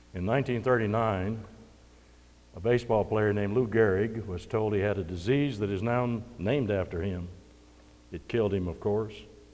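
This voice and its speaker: With audible room echo, a man with fairly low pitch and fairly even intonation talks at a moderate pace, taking long, frequent pauses. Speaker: preacher. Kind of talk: sermon. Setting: church.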